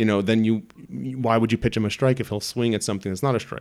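A man with an unremarkable speaking voice at a medium pitch. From New York, Brooklyn. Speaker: baseball fan explaining the sport. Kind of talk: casual chat.

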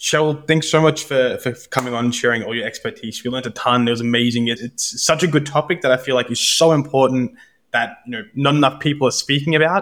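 A man's very fast speech at a medium pitch with ordinary pitch variation, in a very clean recording with a silent background. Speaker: podcast host. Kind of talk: interview chat.

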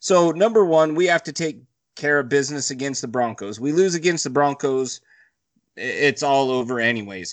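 A plain, everyday voice from a man, lively in intonation, at a moderate pace over a quiet background. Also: fairly high pitch for a man. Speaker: podcast co-host. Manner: joking, playful.

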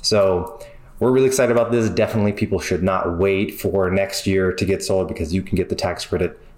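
Over noticeable background noise, a man with a fairly low pitch talks at a very fast pace with fairly even intonation. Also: very even loudness. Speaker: solar company representative. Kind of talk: industry update.

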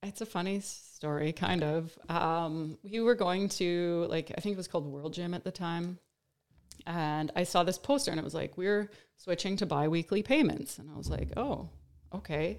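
In a plain, everyday voice, a woman talks at a moderate pace with a fairly low pitch and ordinary pitch variation. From Saskatchewan, Canada (Star City/Tisdale). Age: 40s. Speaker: fitness coach. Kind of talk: casual chat.

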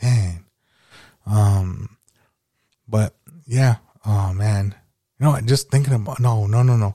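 Very slowly and with long, frequent pauses, a man talks in a fairly low pitch, his dark, mellow tone somewhat breathy, his intonation fairly even and his loudness very even, in a dry, close sound with no echo. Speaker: podcast host. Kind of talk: casual chat. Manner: rambling.

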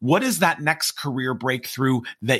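In a very clean recording with a silent background, a man talks at a medium pitch in a bright, sharp tone with vocal fry. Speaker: podcast host and keynote speaker. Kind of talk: podcast hosting and interview.

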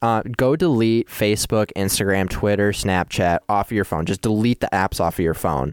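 A plain, everyday voice from a man, fairly low in pitch with ordinary pitch variation, very even loudness and a moderate pace, on a very clean recording with a silent background. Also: hardly any pauses, dry, close sound with no echo. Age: 20s. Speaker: podcast host. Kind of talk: casual chat.

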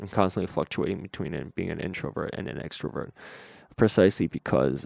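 A man with a very deep, low pitch speaks with vocal fry. The sound is dry and close with no echo, on a very clean recording with a silent background. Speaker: solo podcaster. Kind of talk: solo monologue podcast. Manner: hesitant, many fillers.

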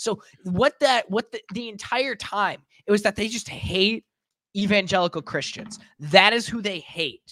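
Bright and sharp in tone, a man's raised, projected voice moves at a fairly slow pace with ordinary pitch variation. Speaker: podcast co-host. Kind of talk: casual banter, political chat. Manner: casual, joking.

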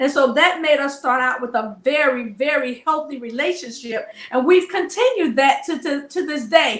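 A high-pitched woman with an American accent and ordinary pitch variation. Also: moderate pace. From US South. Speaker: marriage coach. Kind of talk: casual interview. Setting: studio.

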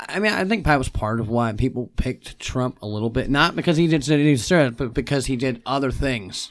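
A man's normal speaking voice at a medium pitch, fairly quick, with ordinary pitch variation and hardly any pauses. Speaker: podcast guest. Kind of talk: casual chat. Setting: studio.

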